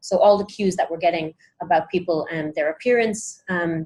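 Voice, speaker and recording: On a very clean recording with a silent background, a woman with an Irish accent speaks at a moderate pace and medium pitch. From Ireland. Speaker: sociolinguistics researcher. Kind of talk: pitch presentation. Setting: hackathon room with small group. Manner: many filler words (um, uh).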